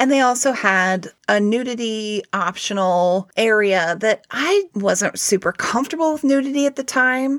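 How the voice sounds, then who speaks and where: A plain, everyday voice moves at a fairly slow pace with hardly any pauses, in a dry, close sound with no echo and a very clean recording with a silent background. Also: woman, fairly high pitch for a woman. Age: 40s. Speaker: podcast co-host, practicing witch. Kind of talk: casual chat.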